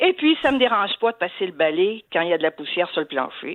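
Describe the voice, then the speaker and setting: Her fairly high voice swings very widely in pitch as this woman speaks at a moderate pace. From southern France. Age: 70s. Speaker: retiree working part-time as secretary. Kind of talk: radio interview. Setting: radio studio. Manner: animated.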